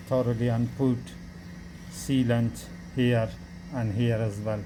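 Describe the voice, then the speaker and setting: At a very slow pace, a man with a non-native accent speaks at medium pitch amid audible room echo. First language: not English. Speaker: car mechanic. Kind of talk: tutorial. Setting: garage workshop. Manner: halting, many fillers.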